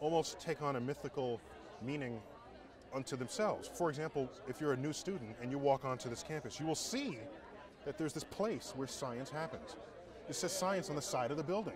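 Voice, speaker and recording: Delivered at a fairly quick pace with ordinary pitch variation, the speech has a dry sound with no echo and noticeable background noise. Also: man. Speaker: guest. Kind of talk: interview answer. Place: open country. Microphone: lapel.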